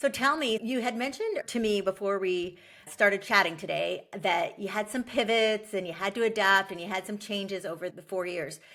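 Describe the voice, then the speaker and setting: A woman with an unremarkable speaking voice holds a medium pitch, shows ordinary pitch variation, and keeps a moderate pace. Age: 40s. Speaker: podcast host, workshop leader. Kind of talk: podcast interview.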